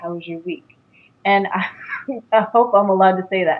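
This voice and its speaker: With a plain, everyday voice, a woman speaks at a fairly quick pace, at medium pitch, with fairly even intonation. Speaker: psychic medium and intuitive coach. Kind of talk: interview.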